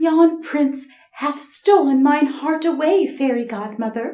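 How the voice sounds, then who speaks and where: A breathy, female-sounding put-on character voice speaks at a fairly slow pace and a high pitch. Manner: mocking, teasing.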